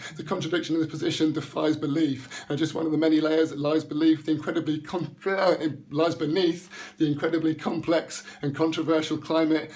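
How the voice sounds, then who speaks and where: Passionate in tone, a man speaks fairly quickly at a fairly high pitch. His intonation stays flat and monotone. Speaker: spoken word poet. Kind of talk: spoken word poetry performance, rhymed rant. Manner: fast, rhythmic, passionate delivery with some stumbling.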